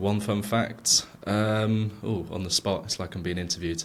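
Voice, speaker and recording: A man speaks with an English accent in a fairly low voice. His intonation is monotone and flat. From England. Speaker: product manager. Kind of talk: podcast interview. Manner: hesitant, many fillers.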